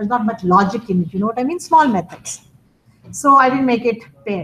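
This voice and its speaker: Her fairly high pitch showing ordinary variation, a woman talks at a fairly quick pace. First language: not English. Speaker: college instructor. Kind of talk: lecture.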